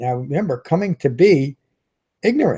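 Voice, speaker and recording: On a very clean recording with a silent background and a dry, close sound with no echo, a man with a dark, mellow, somewhat breathy tone speaks with lively intonation. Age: 60s. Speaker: meditation teacher. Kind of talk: dharma talk. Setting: live stream video.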